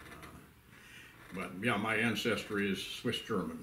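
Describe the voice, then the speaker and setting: A man with a fairly low pitch talks at a moderate pace. His voice carries an audible room echo. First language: Pennsylvania Dutch. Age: 90s. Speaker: elderly pioneer / WWII veteran. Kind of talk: oral history interview. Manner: halting, many fillers.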